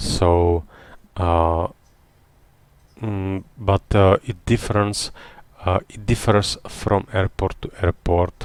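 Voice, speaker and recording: A man with a non-native accent speaks at a very slow pace in a very deep, low voice, his intonation fairly even, his loudness swinging widely, and long pauses coming often. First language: not English. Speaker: retired airline pilot streaming flight simulation. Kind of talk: live-stream tutorial commentary. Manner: halting, many fillers.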